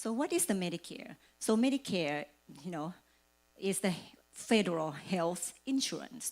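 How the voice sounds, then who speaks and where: A woman with a slight Thai accent speaks at a medium pitch and a moderate pace, her intonation lively and her speech marked by long, frequent pauses. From Thailand. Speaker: financial services agent. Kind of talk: presentation.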